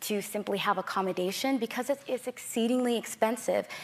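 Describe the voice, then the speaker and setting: She has a plain, everyday voice. The woman talks at a fairly quick pace with fairly even intonation. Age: young. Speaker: climate activist. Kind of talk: panel discussion.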